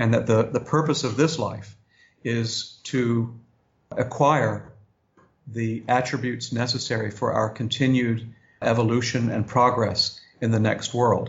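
A somewhat breathy man with an American accent, medium pitch, fairly even intonation and a fairly slow pace. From US South, Augusta, Georgia. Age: 50s. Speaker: religious organization leader. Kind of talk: interview.

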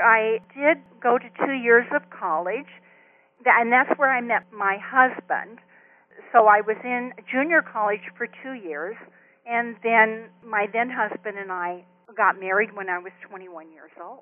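A woman with an American accent speaks at a fairly slow pace in an unremarkable speaking voice. Her pitch is fairly high with ordinary variation, and her loudness swings widely. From US West Coast (Compton, Los Angeles area). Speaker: retired hospice social worker and children's author. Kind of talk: interview. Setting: phone call.

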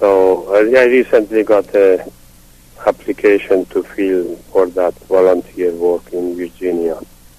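With a Persian accent, a man talks in a very deep, low pitch and fairly even intonation, the sound dry and close with no echo. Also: fairly slow pace. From Iran, Yazd. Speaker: retired physician. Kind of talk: interview. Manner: halting.

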